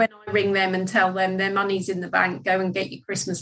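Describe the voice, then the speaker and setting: Speaking with a Norfolk accent, a woman keeps a medium pitch and a moderate pace. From England, Norfolk. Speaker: debt recovery business owner. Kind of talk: casual interview.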